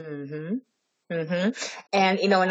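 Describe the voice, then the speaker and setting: Speaking at a fairly slow pace, a woman with an American accent has a normal speaking voice and ordinary pitch variation. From California. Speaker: podcast host, digital strategist. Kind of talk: casual interview.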